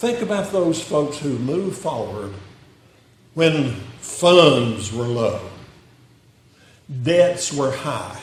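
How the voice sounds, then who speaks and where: A man with a Southern US accent speaks at a very slow pace and fairly high pitch, leaving long, frequent pauses. His pitch swings very widely, with noticeable background noise and audible room echo. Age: 80s+. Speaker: retired pastor. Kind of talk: sermon. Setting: church.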